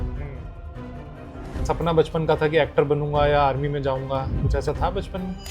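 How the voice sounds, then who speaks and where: Over music in the background, a man speaks at a moderate pace in a fairly high, monotone voice with long, frequent pauses. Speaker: podcast host. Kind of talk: interview questions.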